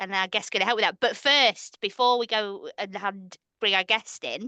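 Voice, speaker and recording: Speaking at a moderate pace with a northern English accent, a woman has a fairly high voice with a bright, sharp tone against a quiet background. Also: ordinary pitch variation, dry, close sound with no echo. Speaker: podcast co-host. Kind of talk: casual chat.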